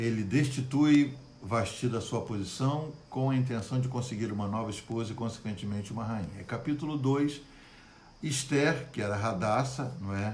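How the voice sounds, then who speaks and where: A man's medium-pitched voice with ordinary pitch variation, at a moderate pace, with audible room echo. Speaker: pastor. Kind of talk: Bible study livestream. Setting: Facebook live stream. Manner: good-humored, animated.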